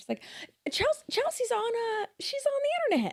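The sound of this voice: A squeaky, put-on character voice, female-sounding, at an extremely high pitch, in a Southern US accent. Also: moderate pace. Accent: Southern American.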